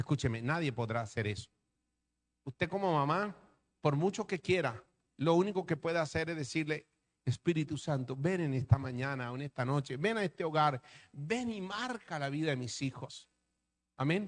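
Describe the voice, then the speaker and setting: A man speaks at a moderate pace with lively intonation and long, frequent pauses. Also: fairly high pitch for a man. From Colombia, Atlantic coast. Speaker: pastor. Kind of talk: sermon.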